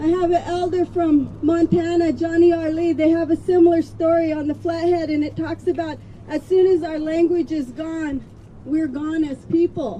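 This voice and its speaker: With an American accent, a woman speaks at an extremely high pitch and a moderate pace, her intonation monotone and flat. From Colville Reservation, Washington. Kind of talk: speech at a rally.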